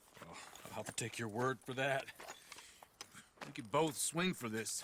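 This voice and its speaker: A man puts on a raspy character voice at a medium pitch, moving at a moderate pace with ordinary pitch variation and big swings in loudness. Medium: video game.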